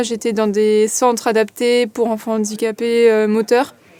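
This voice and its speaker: A woman's fairly high, flat, monotone voice at a moderate pace, with noticeable background noise. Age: 20s. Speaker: para table tennis player. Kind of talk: interview testimony. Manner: hesitant, many fillers.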